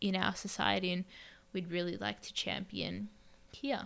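With an Australian accent, a woman talks at a fairly slow pace on a very clean recording with a silent background. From Australia, Melbourne. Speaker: podcast co-host, English teacher. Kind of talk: casual discussion.

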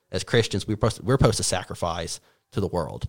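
This man's fairly low voice comes through on a very clean recording with a silent background. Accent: slight Appalachian. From Appalachian North Carolina. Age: 20s. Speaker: college graduate, econ major. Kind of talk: casual interview chat.

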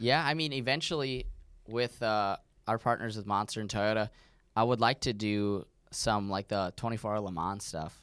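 In a very clean recording with a silent background, a man with an American accent uses a normal speaking voice at fairly low pitch and ordinary pitch variation. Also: moderate pace. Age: 20s. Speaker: off-road racing driver. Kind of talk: casual chat.

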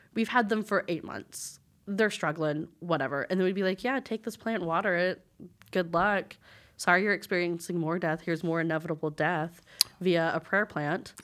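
A plain, everyday voice from a woman, fairly low in pitch with ordinary pitch variation at a moderate pace. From West Texas. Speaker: teacher, former florist shop worker. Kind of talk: casual chat.

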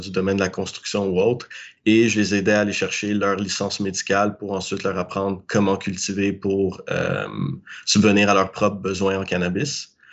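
His pitch is fairly low and his intonation monotone and flat. The man keeps a moderate pace. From Quebec. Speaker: cannabis grower. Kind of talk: interview. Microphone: laggy connection.

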